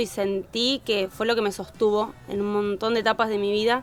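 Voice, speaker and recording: Noticeable background noise under a woman's fairly high, monotone, flat voice at a moderate pace. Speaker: early education specialist and children's content creator. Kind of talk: podcast interview answer.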